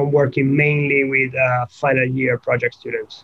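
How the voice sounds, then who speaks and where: A man at a moderate pace in an Italian accent, with noticeable background noise. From Italy. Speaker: nuclear engineering researcher. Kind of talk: technical interview. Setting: video call. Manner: halting, frequent fillers.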